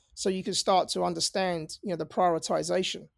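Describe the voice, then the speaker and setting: A man with a London accent talks at a fairly quick pace in a high voice. The recording is very clean, with a silent background. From North London, England. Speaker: cybersecurity founder, ex-Navy. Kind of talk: casual interview.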